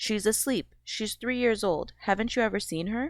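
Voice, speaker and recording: Using a put-on character voice, a woman speaks breathily at a fairly high pitch and a moderate pace. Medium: read story. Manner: excited, breathy, musical.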